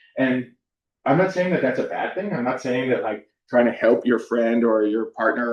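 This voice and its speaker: Speaking with a Californian accent, a man talks at a fairly quick pace and a medium pitch with ordinary pitch variation. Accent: Californian American English. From US West Coast (Southern California). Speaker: university counselor / workshop presenter. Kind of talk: workshop presentation. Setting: room with live and online audience. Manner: casual, frequent fillers (um, like).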